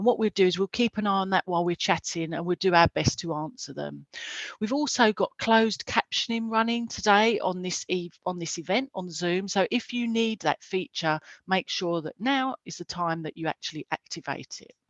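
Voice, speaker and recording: In an Essex accent, a woman with medium pitch and ordinary pitch variation speaks with big swings in loudness against a quiet background, the sound dry and close with no echo. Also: moderate pace. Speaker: careers event host. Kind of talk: live webinar presenting. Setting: video call.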